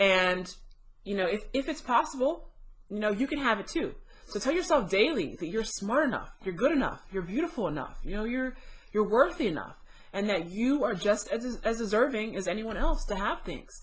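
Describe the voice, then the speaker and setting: A woman talks at a moderate pace, her voice somewhat breathy. Her pitch swings very widely. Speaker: tarot reader. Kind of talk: casual talk to camera.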